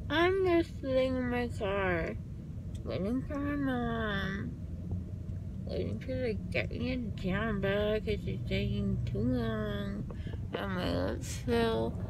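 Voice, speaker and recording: A woman speaks with long, frequent pauses. Noticeable background noise runs under the recording. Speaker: vlogger after dental surgery. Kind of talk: casual vlog chat. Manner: slow, slurred, numb-lipped drowsy speech. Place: car. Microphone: phone near.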